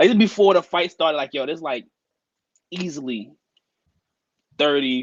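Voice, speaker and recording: A man with a New York accent speaks at a moderate pace with lively intonation. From Brooklyn, New York. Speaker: teacher and sneakerhead. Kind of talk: casual chat.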